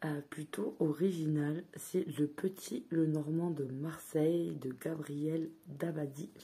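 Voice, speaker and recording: The voice is somewhat breathy with a dark, mellow tone. It moves at a very slow pace with fairly even intonation. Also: woman, very deep, low pitch for a woman. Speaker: tarot card reviewer. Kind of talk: product review. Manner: hesitant, filler words.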